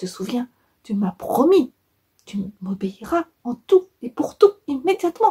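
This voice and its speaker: A woman uses a put-on character voice, high in pitch and swinging very widely. She speaks at a fairly slow pace with long, frequent pauses. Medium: read story.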